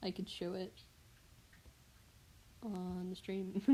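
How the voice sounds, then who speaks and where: Medium-pitched voice of a woman. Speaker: livestreamer drawing. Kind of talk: casual live stream chat while drawing. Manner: loud; hesitant, many fillers.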